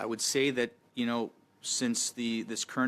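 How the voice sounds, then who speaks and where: The man talks at a fairly quick pace. His intonation is monotone and flat. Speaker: lumber industry witness. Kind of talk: committee testimony. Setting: parliamentary committee room. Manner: fast.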